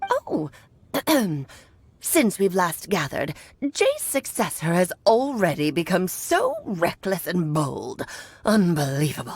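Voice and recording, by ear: In a put-on character voice, a female-sounding speaker talks at a fairly slow pace with long, frequent pauses. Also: medium pitch for a woman.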